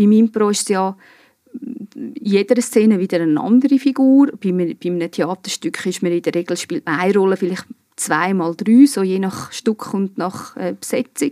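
A woman with a plain, everyday voice speaks at a medium pitch. She keeps a moderate pace, and her intonation is lively. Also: dry, close sound with no echo. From Switzerland, Obwalden (Giswil). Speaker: improv actress. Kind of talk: casual chat.

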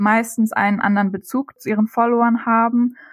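At a moderate pace, a woman with a fairly high, somewhat breathy voice speaks with fairly even intonation, the sound dry and close with no echo. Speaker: student and travel blogger. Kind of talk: interview. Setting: studio.

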